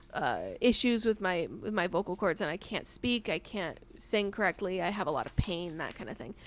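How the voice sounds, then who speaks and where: This woman's medium-pitched voice carries vocal fry and ordinary pitch variation, with big swings in loudness. She keeps a moderate pace with hardly any pauses. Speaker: podcast co-host. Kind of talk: casual chat. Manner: halting, many fillers and restarts.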